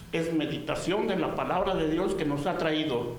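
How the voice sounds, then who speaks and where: Amid noticeable background noise and audible room echo, a man speaks at a fairly slow pace with a high pitch. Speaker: pastor. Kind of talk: sermon. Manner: loud; animated.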